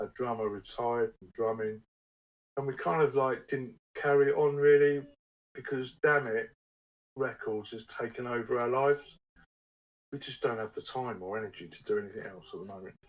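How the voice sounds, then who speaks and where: Pausing long and often, a man at medium pitch keeps a moderate pace, with ordinary pitch variation and big swings in loudness. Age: 60s. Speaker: record label owner and musician. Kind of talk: casual interview chat.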